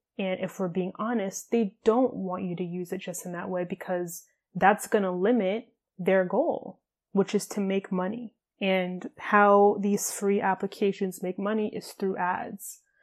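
In a very clean recording with a silent background, a woman talks at a fairly slow pace in an ordinary speaking voice, her medium pitch carrying fairly even intonation. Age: 20s. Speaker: podcast host and fitness coach. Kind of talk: solo podcast monologue.

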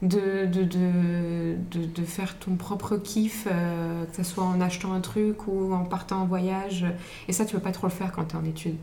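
Soft-spoken and monotone with flat intonation, a woman talks at a fairly slow pace amid audible room echo and noticeable background noise. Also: medium pitch for a woman. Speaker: podcast guest. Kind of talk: casual chat.

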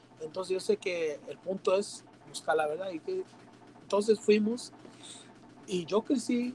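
Through noticeable background noise, a man with a high pitch speaks fairly slowly with long, frequent pauses. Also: ordinary pitch variation. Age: 20s. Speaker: church youth leader. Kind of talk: casual chat.

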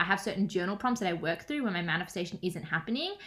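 With an Australian accent, a woman speaks at a medium pitch in a bright, sharp tone and lively intonation. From Australia, Melbourne. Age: 20s. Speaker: manifestation and business coach. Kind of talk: casual interview chat.

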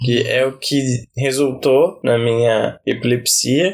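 A man's medium-pitched voice stays monotone and flat throughout. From Brazil, Campinas area, São Paulo state. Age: 30s. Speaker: podcast host. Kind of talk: casual interview, being interviewed.

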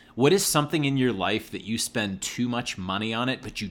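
An unremarkable speaking voice from a man, medium in pitch, fairly quick, with ordinary pitch variation. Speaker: podcast host. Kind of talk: casual interview chat.

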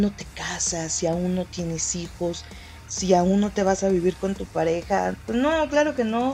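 The delivery is fairly slow. Music is heard in the background. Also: woman. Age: 20s. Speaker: podcast host. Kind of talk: casual monologue.

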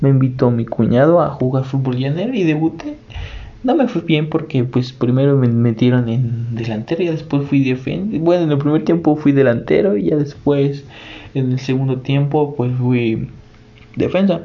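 Speaking in a Mexican accent, a man uses a fairly high pitch and ordinary pitch variation. His pace is moderate, and there is noticeable background noise. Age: 20s. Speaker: podcaster. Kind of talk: casual monologue. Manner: hesitant, many fillers.

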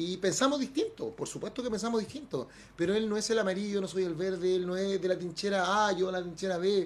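A man with a Chilean accent talks fairly quickly at a high pitch. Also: ordinary pitch variation. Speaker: radio host. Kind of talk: casual chat.

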